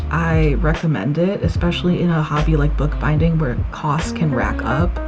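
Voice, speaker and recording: Soft-spoken woman with music in the background. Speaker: hobby bookbinder. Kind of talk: relaxed craft voiceover.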